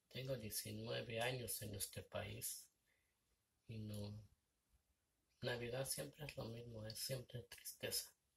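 Light background noise sits behind a man speaking. He talks at a very slow pace with long, frequent pauses. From Mexico. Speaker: vlogger. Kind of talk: casual vlog monologue. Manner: halting. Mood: reflective, somewhat sad. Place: home room. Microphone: phone near.

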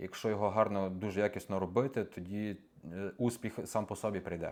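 With fairly even intonation, a man with a fairly low pitch and an ordinary speaking voice talks at a moderate pace. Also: very clean recording, silent background. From western Ukraine (Morshyn). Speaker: videographer. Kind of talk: interview. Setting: studio.

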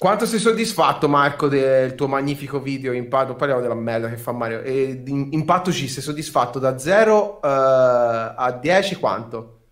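A man's medium-pitched voice, fairly slow yet with hardly any pauses, lively in intonation against a quiet background. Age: 30s. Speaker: streamer and host; streamer, host. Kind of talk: casual chat. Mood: playful, teasing. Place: home room.

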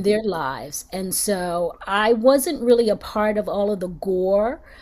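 With lively intonation and an American accent, a woman talks at a fairly slow pace. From Philadelphia. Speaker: actress. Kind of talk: interview answer. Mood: earnest, reflective.

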